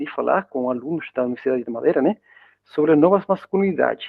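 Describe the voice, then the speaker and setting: The man's pitch swings very widely. He talks at a fairly quick pace. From Spain. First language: Spanish (speaking Portuguese). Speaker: university professor. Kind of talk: lecture. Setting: video call. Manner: halting.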